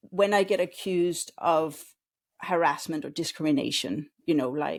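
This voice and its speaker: A woman with a Danish accent speaks at a moderate pace and a fairly low pitch, with ordinary pitch variation. The recording is very clean with a silent background. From Denmark. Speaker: customer experience consultant. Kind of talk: interview.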